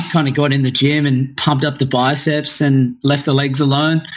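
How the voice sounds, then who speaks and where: This man has an Australian accent. His voice is fairly high in pitch. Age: 20s. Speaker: gym owner and fitness coach. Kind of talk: podcast interview.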